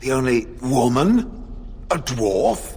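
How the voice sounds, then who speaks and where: A man's put-on character voice at a medium pitch, with clear background noise. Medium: video game. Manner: formal, stilted.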